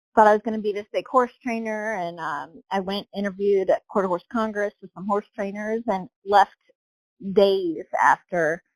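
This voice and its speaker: A woman with an ordinary speaking voice talks at a moderate pace and medium pitch, her dry, close sound with no echo captured on a very clean recording with a silent background. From Southern Ohio. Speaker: real estate agent and horse rider. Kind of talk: casual podcast interview.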